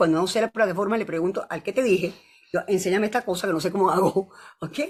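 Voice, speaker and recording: Her pitch medium, a woman talks at a very fast pace. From Venezuela. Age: 70s. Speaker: physician and university professor. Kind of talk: casual chat. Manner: animated.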